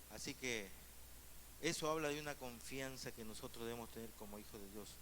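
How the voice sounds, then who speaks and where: Medium-pitched male voice with ordinary pitch variation and audible room echo. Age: 60s. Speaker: pastor. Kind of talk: sermon.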